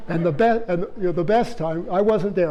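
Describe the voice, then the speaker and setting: A man with a Canadian accent speaks at a fairly quick pace in an animated tone, with audible room echo. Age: 70s. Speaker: retired bear biologist. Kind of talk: public lecture. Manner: animated storytelling.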